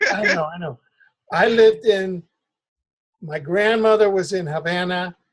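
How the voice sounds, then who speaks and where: A man with a slight Cuban accent speaks high for a man at a moderate pace, with long, frequent pauses, big swings in loudness and ordinary pitch variation. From Cuba (Oriente). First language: Spanish. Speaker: interviewer. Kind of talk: interview.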